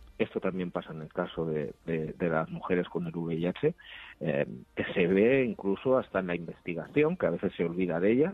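A man with a very deep, low pitch at a moderate pace, with ordinary pitch variation. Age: 50s. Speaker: HIV activist, director of an HIV organization. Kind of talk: radio interview. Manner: halting, with frequent fillers.

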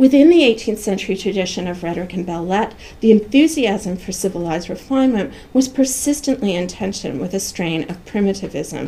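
A woman's somewhat breathy, dark, mellow voice at medium pitch, fairly quick and lively in intonation, with big swings in loudness. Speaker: professor giving a lecture. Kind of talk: lecture. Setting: seminar room with audience.

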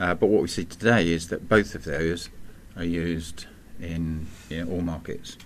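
With an English accent, a man speaks at a fairly slow pace in a very deep, low pitch with ordinary pitch variation. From England. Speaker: podcast co-host, telecom expert. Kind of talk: casual chat. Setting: studio.

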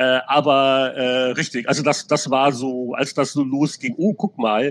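Using an ordinary speaking voice, a man talks at a medium pitch with ordinary pitch variation. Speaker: games journalist. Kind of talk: casual chat. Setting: video call.

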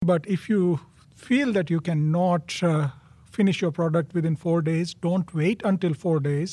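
Keeping very even loudness, a man with a high pitch speaks at a fairly slow pace with ordinary pitch variation. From India. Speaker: food safety specialist. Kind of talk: interview. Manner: hesitant, frequent uh fillers.

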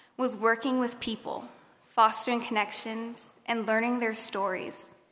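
Bright, sharp tone at a moderate pace, with audible room echo. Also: woman. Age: 20s. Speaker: graduating student speaker. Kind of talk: commencement speech. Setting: stage with audience.

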